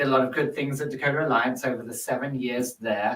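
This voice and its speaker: In an English accent, a man speaks at a medium pitch with a bright, sharp tone. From London, England. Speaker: nonprofit executive. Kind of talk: podcast interview. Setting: studio.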